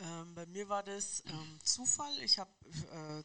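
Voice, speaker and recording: This woman has a bright, sharp tone at medium pitch, with ordinary pitch variation. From Munich, Bavaria. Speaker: football club laundry worker. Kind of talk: casual interview.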